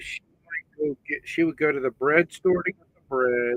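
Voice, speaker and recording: In a normal speaking voice, someone talks at a fairly slow pace with ordinary pitch variation and a dry, close sound with no echo. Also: man. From US, Pennsylvania. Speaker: livestream participant. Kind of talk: personal reminiscence.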